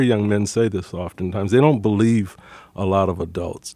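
A man speaks in a normal speaking voice, fairly low in pitch with ordinary variation. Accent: American. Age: 60s. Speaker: nonprofit director. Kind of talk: radio interview.

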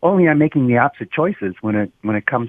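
A man speaks in an American accent. His pitch varies in an ordinary way. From Roseville, Michigan (Detroit suburbs). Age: 60s. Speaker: voter. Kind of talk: radio call-in interview. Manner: halting, repeats words.

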